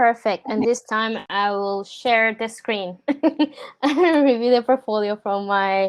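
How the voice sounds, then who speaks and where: Speaking very slowly, a woman uses a Spanish accent. Her pitch is fairly high, with ordinary variation. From Puerto Rico. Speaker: product designer. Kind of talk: portfolio review on a video call.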